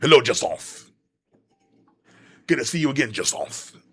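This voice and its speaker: A man's put-on character voice, raspy and guttural, with a French accent as part of the act, at a moderate pace. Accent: French, exaggerated. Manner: over-the-top, playful.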